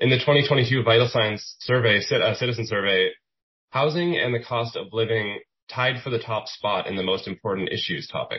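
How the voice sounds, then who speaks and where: At a moderate pace, a man with an unremarkable speaking voice talks at medium pitch with ordinary pitch variation. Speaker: journalist moderator. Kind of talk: moderated panel discussion.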